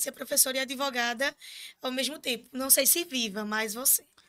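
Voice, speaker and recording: A raised, projected voice carries the speech. Its tone comes across bright and sharp. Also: woman. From Pernambuco interior, Brazil (Surubim). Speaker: student union president. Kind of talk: casual interview. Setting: studio, live stream.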